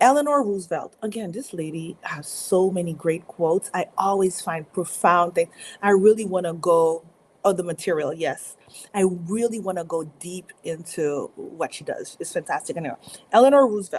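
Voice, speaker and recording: This voice moves at a moderate pace with ordinary pitch variation. Its loudness swings widely. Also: woman, medium pitch for a woman. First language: French. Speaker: motivational speaker. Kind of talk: live stream talk. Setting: live stream.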